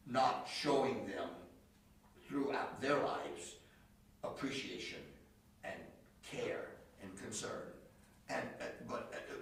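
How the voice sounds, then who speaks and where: A man talks at a very slow pace with long, frequent pauses, his loudness swinging widely, over noticeable background noise and audible room echo. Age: 70s. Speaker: piano teacher and workshop presenter. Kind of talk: lecture with group discussion. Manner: halting, repeats words.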